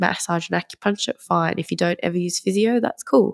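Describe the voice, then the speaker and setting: Fairly quick Australian-accented speech, dry and close with no echo, on a very clean recording with a silent background. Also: woman. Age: 30s. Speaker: acupuncturist. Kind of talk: interview.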